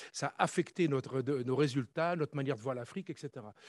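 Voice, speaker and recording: Talking at a very fast pace, a man with a fairly high voice shows ordinary pitch variation in a dry, close sound with no echo. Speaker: conference panelist, former army officer. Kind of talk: conference talk.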